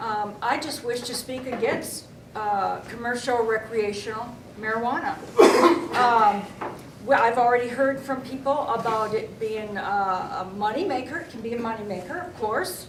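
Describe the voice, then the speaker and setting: Amid noticeable background noise and audible room echo, a woman with a fairly high voice speaks with ordinary pitch variation and big swings in loudness. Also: moderate pace. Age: 60s. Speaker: nurse and minister's wife speaking at public hearing. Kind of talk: public comment at city council hearing. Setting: city council meeting. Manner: halting, many fillers.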